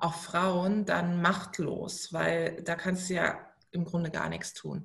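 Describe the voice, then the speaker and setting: A woman with a medium-pitched, somewhat breathy voice speaks at a very slow pace. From Baden, southwest Germany (Karlsruhe). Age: 30s. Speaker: entrepreneur and author. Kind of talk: interview.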